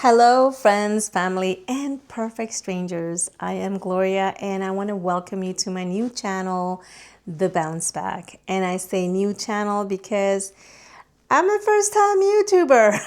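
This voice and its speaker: On a very clean recording with a silent background, an ordinary speaking voice goes at a fairly slow pace, its pitch varying in an ordinary way. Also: woman, medium pitch for a woman. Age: 50s. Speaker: psychotherapist and vlogger. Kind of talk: casual vlog monologue.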